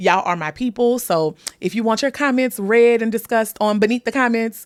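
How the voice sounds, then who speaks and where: Talking at a fairly quick pace with a slight New Orleans accent, a woman with a fairly high pitch and an animated tone comes through on a very clean recording with a silent background and a dry, close sound with no echo. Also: ordinary pitch variation. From US South, New Orleans. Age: 30s. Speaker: podcast host. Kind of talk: casual chat.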